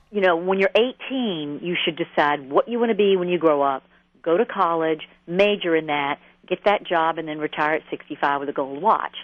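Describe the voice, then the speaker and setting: In an Atlanta accent, a woman talks at a moderate pace with a fairly low pitch and ordinary pitch variation. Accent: Southern US (Atlanta). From US South, Atlanta. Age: 50s. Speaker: therapist and author. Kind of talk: radio interview.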